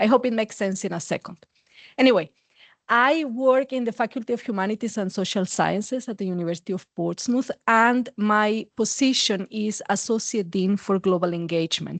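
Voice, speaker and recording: A woman with a Mexican accent talks at a moderate pace, her voice dry and close with no echo over a quiet background. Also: fairly high pitch for a woman, ordinary pitch variation. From Mexico. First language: Spanish. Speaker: university administrator and psychologist. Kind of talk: academic conference talk. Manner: frequent filler words.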